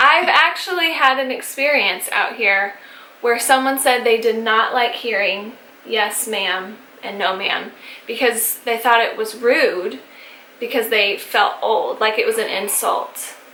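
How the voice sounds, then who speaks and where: A woman with an American accent speaks fairly slowly at a fairly high pitch, with ordinary pitch variation and noticeable background noise. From Texas. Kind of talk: casual talk to camera.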